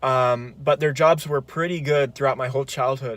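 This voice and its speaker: Here a man talks with a Californian accent. His pitch sits fairly high. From California, Grass Valley. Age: 20s. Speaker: psychology student. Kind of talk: personal video monologue.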